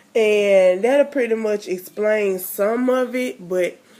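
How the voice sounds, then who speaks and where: A woman's fairly high voice moves at a very slow pace, with ordinary pitch variation. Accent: American. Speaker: mommy vlogger. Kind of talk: casual vlog chat.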